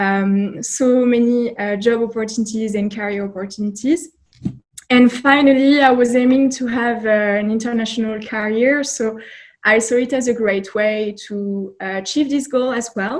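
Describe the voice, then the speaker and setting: A woman speaks with a French accent at a moderate pace. Her pitch sits fairly high, with ordinary variation. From France. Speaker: job candidate, recent graduate. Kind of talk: interview.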